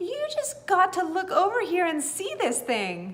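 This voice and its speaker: A woman uses a put-on character voice that is squeaky and extremely high-pitched. She talks at a moderate pace with very wide pitch swings. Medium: read story. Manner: folksy, slow.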